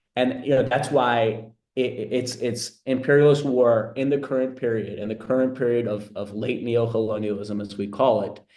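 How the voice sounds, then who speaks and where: A man with a dark, mellow tone and medium pitch speaks at a moderate pace with hardly any pauses. His intonation is fairly even, and there is audible room echo. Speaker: political analyst. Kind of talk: webinar talk. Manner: halting.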